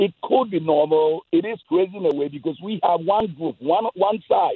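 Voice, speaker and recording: A man with a high pitch speaks at a moderate pace with ordinary pitch variation. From Ghana. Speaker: radio caller. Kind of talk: call-in opinion. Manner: animated.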